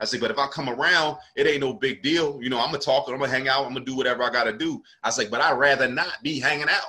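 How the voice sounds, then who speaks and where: Talking at a very fast pace with hardly any pauses, a man with an American accent uses a medium pitch and ordinary pitch variation. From South Jersey, near Philadelphia. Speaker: comedian and podcast host. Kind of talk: casual chat.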